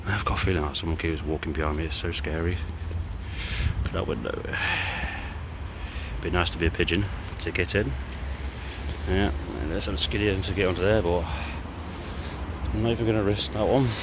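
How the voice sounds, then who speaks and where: A man talks very fast in a dry recording with no echo and noticeable background noise. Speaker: urban explorer vlogger. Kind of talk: casual vlog chat. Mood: curious, slightly nervous. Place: street. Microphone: phone near.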